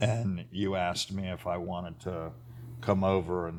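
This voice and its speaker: A man with an American accent talks at a fairly slow pace in a very deep, low voice. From Florida. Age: 60s. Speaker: high school football coach. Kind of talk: testimony. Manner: halting.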